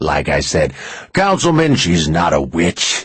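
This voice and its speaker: A man puts on a character voice. He speaks at a fairly slow pace in a very deep, low pitch. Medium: read story. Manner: weary, calm, smug.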